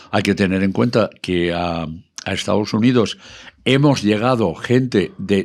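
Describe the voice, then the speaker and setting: With a normal speaking voice, a man talks at a fairly slow pace in a fairly low pitch with ordinary pitch variation against a quiet background. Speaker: radio broadcaster and country music expert. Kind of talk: casual talk, explaining history of country music.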